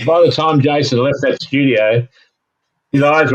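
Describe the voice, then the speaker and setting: The sound is dry and close, with no echo. A man talks at a moderate pace. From Australia. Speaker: puppeteer and voice artist. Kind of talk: interview answer. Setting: remote recording.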